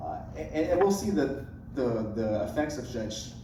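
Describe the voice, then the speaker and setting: An American accent comes through with noticeable background noise, audible room echo and ordinary pitch variation. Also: man. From US Midwest, Decatur, Illinois. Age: 20s. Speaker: city council candidate. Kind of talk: candidate forum answer.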